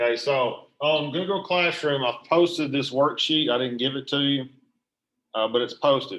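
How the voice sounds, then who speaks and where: In a very clean recording with a silent background, a man with a plain, everyday voice and fairly high pitch talks at a moderate pace. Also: ordinary pitch variation. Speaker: high school math teacher. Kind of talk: tutorial.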